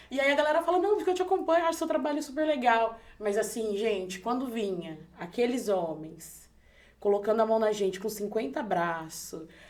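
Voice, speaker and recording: Over audible room echo, a woman with a fairly high voice talks fairly quickly, her pitch swinging very widely. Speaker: podcast host. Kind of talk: casual chat. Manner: loud; animated.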